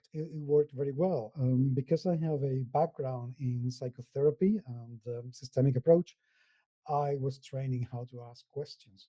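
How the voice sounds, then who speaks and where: Heard in a dry, close sound with no echo, a man's fairly high-pitched voice carries a dark, mellow tone and is somewhat breathy. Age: 50s. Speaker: tabletop gaming podcaster and blogger. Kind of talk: interview. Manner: hesitant, many fillers.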